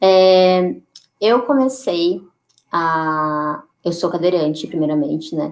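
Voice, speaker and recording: A woman's fairly low voice at a very slow pace, with ordinary pitch variation and long, frequent pauses. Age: 20s. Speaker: activist and photographer. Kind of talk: interview.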